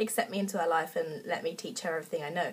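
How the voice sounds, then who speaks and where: A woman is speaking. She talks with an English accent. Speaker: book reviewer. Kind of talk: casual book review vlog. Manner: hesitant, many fillers.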